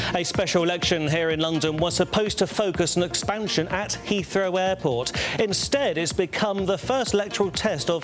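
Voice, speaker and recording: With music in the background, a man speaks at a moderate pace and a high pitch, his pitch varying in an ordinary way. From British. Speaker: news anchor. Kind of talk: news bulletin read.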